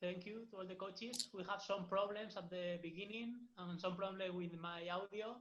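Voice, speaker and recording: There's a Spanish accent in this man's high-pitched voice. He keeps a moderate pace and a flat, monotone intonation. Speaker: football academy coach. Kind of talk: online workshop wrap-up. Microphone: audio problems.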